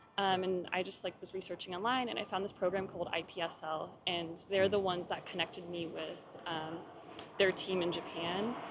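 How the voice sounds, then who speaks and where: A woman's medium-pitched voice with an American accent, fairly even intonation and a fairly quick pace, over noticeable background noise. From US, Ohio. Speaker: language student. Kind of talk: interview answers.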